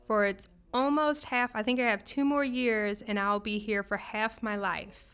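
Over music in the background, a woman talks fairly slowly in a fairly high voice. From New Orleans, Louisiana. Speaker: accountant and business owner. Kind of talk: casual interview.

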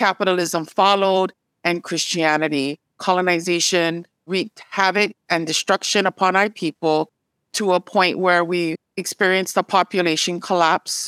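In a Hawaiian accent, a woman with a medium pitch talks at a moderate pace in a monotone, flat intonation and very even loudness, on a very clean recording with a silent background and a dry, close sound with no echo. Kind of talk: interview.

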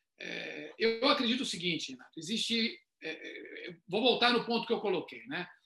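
Raised and projected, the voice moves at a moderate pace with big swings in loudness and very wide pitch swings. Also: man, extremely high pitch for a man. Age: 50s. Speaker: retail consultant. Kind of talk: online panel discussion.

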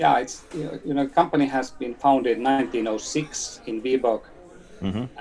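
Someone with a Finnish accent speaks over noticeable background noise. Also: man, medium pitch for a man, ordinary pitch variation. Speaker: company CEO. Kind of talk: interview. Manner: halting.

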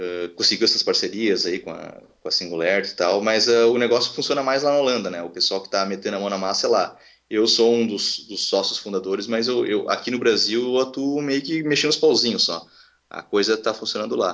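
A man with a plain, everyday voice speaks at a fairly quick pace. His pitch is medium, with ordinary variation. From Rio Grande do Sul, Brazil. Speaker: education project founder. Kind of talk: casual interview.

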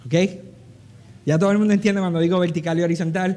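High in pitch, a man's dark, mellow voice carries an audible room echo. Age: 40s. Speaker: preacher. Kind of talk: sermon.

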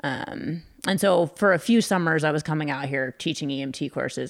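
A woman speaks at a moderate pace with an American accent. The recording is very clean, with a silent background. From California. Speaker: climbing nonprofit director. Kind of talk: casual chat.

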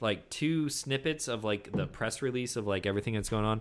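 He has a normal speaking voice at a medium pitch, and his intonation is lively. The recording is very clean, with a silent background. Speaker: podcast host. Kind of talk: casual chat. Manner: profane, casual.

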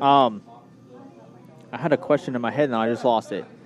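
Music plays in the background as a man talks at a moderate pace. His pitch is medium and his intonation fairly even. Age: 20s. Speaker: local sports radio host. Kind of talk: sports interview show. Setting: live broadcast from a pizza restaurant.

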